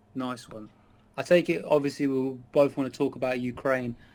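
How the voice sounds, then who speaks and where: A man with an English accent, fairly even intonation and a moderate pace. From England. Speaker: chat stranger in online video chat. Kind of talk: casual political discussion.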